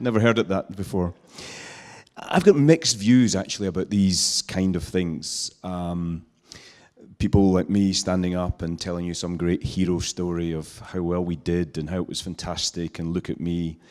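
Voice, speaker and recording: A man speaks at a moderate pace with a very deep, low pitch, fairly even intonation and a Scottish accent. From Scotland, island. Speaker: social entrepreneur. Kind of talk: talk to an audience. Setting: stage with audience, handheld mic.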